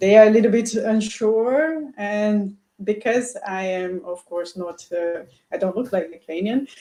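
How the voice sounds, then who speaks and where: Speaking fairly slowly in a Portuguese accent, a woman with a fairly high, dark and mellow voice shows ordinary pitch variation and big swings in loudness. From Brazil. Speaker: doctor. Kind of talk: interview. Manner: halting.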